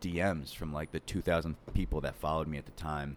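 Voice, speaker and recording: A man speaks in a New York accent. His very deep, low voice stays monotone and flat. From Long Island, New York. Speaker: animator and meme creator. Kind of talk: casual chat. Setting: indoor venue, not a studio.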